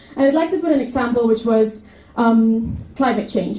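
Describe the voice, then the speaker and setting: A woman with a Spanish accent speaks at a moderate pace and a fairly high pitch with ordinary pitch variation. Background noise is noticeable. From Spain, Madrid. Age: 20s. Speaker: university student. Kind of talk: presentation talk.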